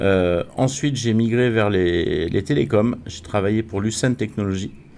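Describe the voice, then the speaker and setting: Using a plain, everyday voice, a man speaks fairly slowly at a fairly low pitch with ordinary pitch variation. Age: 60s. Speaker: wealth management consultant. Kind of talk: interview.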